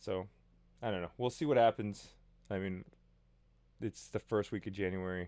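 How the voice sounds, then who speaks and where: At a moderate pace with long, frequent pauses, a man speaks in a fairly low, dark and mellow voice with ordinary pitch variation against a quiet background. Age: 30s. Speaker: vlogger. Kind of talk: casual vlog monologue. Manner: animated. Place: home room. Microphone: studio mic.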